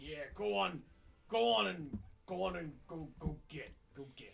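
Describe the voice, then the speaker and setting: In a put-on character voice, the speaker goes at a moderate pace. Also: man, fairly high pitch for a man. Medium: actual play. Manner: aggressive, bullying.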